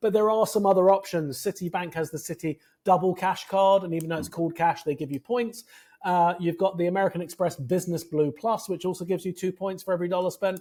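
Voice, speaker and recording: In a very clean recording with a silent background, a man with a British accent speaks at a high pitch in a dark, mellow tone. He talks very fast with fairly even intonation. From Britain. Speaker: credit card points expert. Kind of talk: interview.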